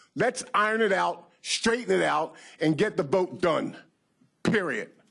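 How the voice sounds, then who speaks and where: An animated man with an American accent and a high pitch speaks at a fairly slow pace, with lively intonation and very even loudness. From US Northeast, Pennsylvania. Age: 60s. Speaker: county council member. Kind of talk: heated debate. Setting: council meeting room.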